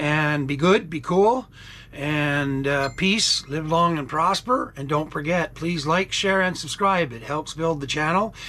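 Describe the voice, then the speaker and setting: A man with a Canadian accent, fairly high in pitch, at a fairly slow pace with ordinary pitch variation. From Canada. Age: 60s. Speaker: vlogger. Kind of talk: casual vlog talk. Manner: rambling, hesitant with many fillers.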